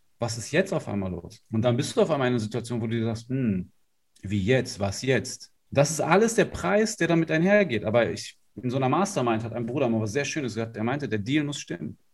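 Somewhat breathy and medium in pitch, a man talks at a fairly quick pace with very wide pitch swings. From northern Germany, Lower Saxony. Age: 30s. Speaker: life and business coach. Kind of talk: interview.

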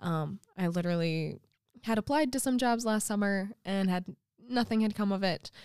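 In an ordinary speaking voice, a woman talks at a moderate pace with medium pitch, ordinary pitch variation and very even loudness. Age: 20s. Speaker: teacher. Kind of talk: casual chat.

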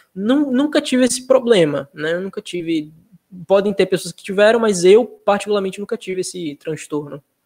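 With lively intonation and big swings in loudness, a man speaks at a high pitch in a dry, close sound with no echo. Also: moderate pace. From Sergipe, Brazil (Nossa Senhora do Socorro). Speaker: digital artist. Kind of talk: interview.

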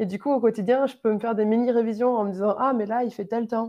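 A woman's fairly high voice moves at a fairly quick pace, her intonation fairly even. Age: 20s. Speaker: engineering student. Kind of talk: interview. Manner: hesitant, many fillers.

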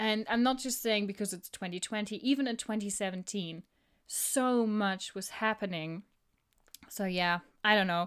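A woman with a German accent at a medium pitch and moderate pace, on a very clean recording with a silent background. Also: ordinary pitch variation. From Germany. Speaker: podcast co-host. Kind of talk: casual chat.

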